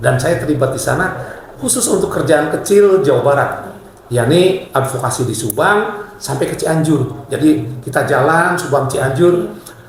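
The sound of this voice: Amid strong room echo, a man with a fairly high pitch speaks at a moderate pace with lively intonation.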